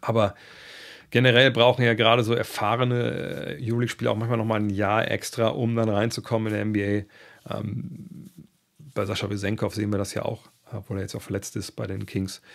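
With a plain, everyday voice, a man speaks fairly quickly at a fairly low pitch, his intonation fairly even against a quiet background. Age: 50s. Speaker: basketball podcast host. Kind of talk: casual podcast monologue answering listener questions. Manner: conversational with many fillers. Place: home room. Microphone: studio mic.

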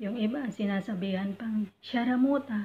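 A woman speaks at a fairly slow pace in a somewhat breathy voice with fairly even intonation. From Philippines. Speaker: overseas domestic worker and YouTuber; YouTuber. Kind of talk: tutorial. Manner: polite, uses po. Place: home room. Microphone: phone near.

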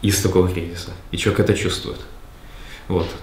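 Through light background noise and audible room echo, a man speaks with a very deep, low pitch. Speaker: book club participant. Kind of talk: group book discussion. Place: meeting room.

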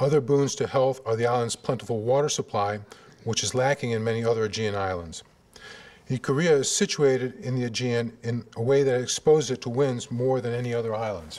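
With an American accent, a man talks at a fairly quick pace and medium pitch with ordinary pitch variation. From US Midwest, Cleveland, Ohio; Ohio. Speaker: surgeon giving a lecture. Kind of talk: lecture. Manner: halting, many fillers. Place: hall. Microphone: podium.

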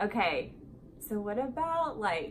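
A woman at a slow pace, with faint background noise

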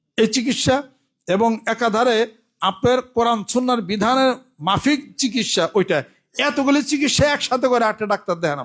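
An extremely high-pitched male voice with ordinary pitch variation and very even loudness, captured in a very clean recording against a silent background. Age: 60s. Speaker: pir, Islamic preacher. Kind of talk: Friday sermon.

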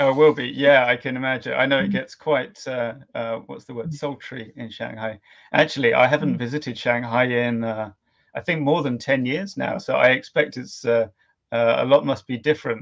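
A man talks at a moderate pace with ordinary pitch variation and big swings in loudness against a quiet background. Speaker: livestream host. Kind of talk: host interview chat. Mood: friendly, polite. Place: home room. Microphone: earbuds.

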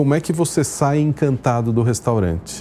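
A dark, mellow tone over light background noise. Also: man. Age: 50s. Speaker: restaurant chain executive; guest. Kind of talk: TV interview. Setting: studio. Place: studio. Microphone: lapel.

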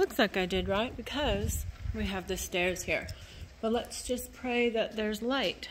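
A woman at a fairly slow pace over light background noise. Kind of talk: casual vlog chat. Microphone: phone near.

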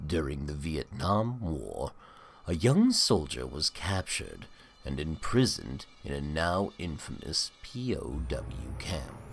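Over clear background noise, a man does a put-on character voice at a very deep, low pitch. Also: fairly slow pace. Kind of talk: horror narration. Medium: read story. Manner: ominous, sardonic.

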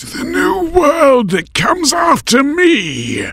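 At a fairly slow pace, a man speaks with an extremely high pitch. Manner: hissing.

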